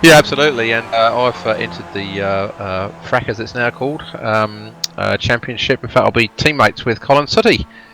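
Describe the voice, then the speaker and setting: Over music in the background, a man with a medium-pitched voice talks at a fairly quick pace with hardly any pauses. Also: ordinary pitch variation. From Wales. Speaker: sim racing commentator. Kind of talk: casual chat. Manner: halting, many fillers.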